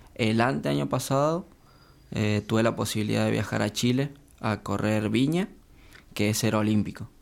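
A man at a moderate pace with a fairly low pitch, lively intonation, very even loudness and long, frequent pauses. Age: 20s. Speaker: elite triathlete. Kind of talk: casual interview.

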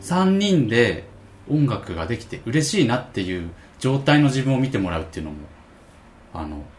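Somewhat breathy speech from a man at medium pitch, at a moderate pace, with very wide pitch swings, big swings in loudness, long, frequent pauses and audible room echo. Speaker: musician. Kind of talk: casual chat.

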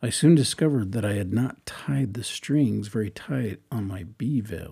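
A man's very slow, dark, mellow voice with vocal fry, lively intonation and an American accent. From eastern Washington, US. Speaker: church speaker preparing a talk. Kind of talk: reading aloud draft talk notes. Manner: halting.

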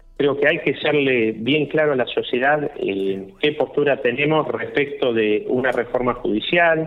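Over music in the background, a man with a fairly high pitch talks at a fairly slow pace, showing ordinary pitch variation and very even loudness. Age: 40s. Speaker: political candidate. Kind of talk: radio interview. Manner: halting, many fillers.

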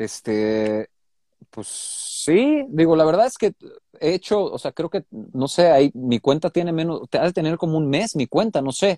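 A man with a Mexican accent, a dark, mellow tone, very wide pitch swings and a fairly slow pace, in a dry, close sound with no echo. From Mexico. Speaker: DJ and music producer. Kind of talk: casual interview.

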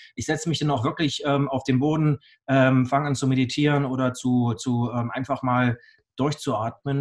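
A man with a medium pitch speaks at a fairly slow pace, somewhat breathy, with fairly even intonation. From Bavaria, Augsburg. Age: 40s. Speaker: blockchain entrepreneur and speaker. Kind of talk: interview. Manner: halting, many fillers and repetitions.

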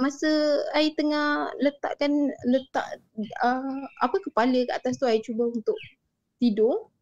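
A woman's high-pitched voice in a Malaysian accent at a fairly slow pace. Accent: Malaysian Malay. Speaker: storyteller subscriber sharing ghost stories. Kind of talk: casual storytelling over video call. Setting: video call.

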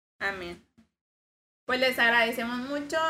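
This woman's intonation stays fairly even. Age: 20s. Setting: in front of a camera.

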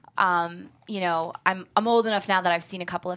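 Speaking with an American accent at a fairly quick pace, this bright, sharp voice comes through on a very clean recording with a silent background. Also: woman. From Syracuse, upstate New York. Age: 30s. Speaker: screenwriter. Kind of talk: casual interview chat. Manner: laughs often.

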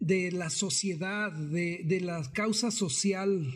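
A man is speaking. His voice sits high in pitch. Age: 40s. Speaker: circus performer. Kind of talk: interview.

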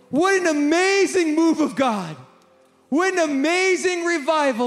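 An animated man with lively intonation at a fairly slow pace, over noticeable background noise. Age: 40s. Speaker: pastor. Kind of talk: sermon.

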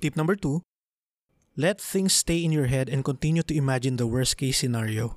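A man with a Filipino accent and fairly high pitch, moderate in pace with ordinary pitch variation, in a very clean recording with a silent background and a dry, close sound with no echo. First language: Tagalog. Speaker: podcast host. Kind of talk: solo podcast monologue, Taglish.

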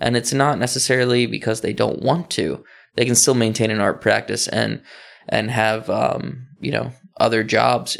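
A man with an American accent at a fairly slow pace, in a very clean recording with a silent background. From Dundalk, Maryland (Baltimore area). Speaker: artist and art professor. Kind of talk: casual interview.

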